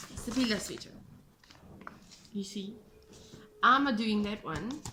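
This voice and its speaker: Speaking at a fairly slow pace with a South African accent, a woman uses a fairly high pitch and ordinary pitch variation, with audible room echo and noticeable background noise. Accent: Afrikaans South African English. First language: Afrikaans. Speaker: knitting podcaster and yarn dyer. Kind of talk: casual chat. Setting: home, kitchen table.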